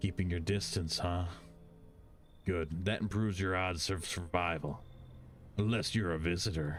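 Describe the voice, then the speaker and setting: A man puts on a menacing character voice, very deep, low and raspy, at a moderate pace with long, frequent pauses. Clear background noise runs underneath. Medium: video game. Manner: gruff, terse, menacing.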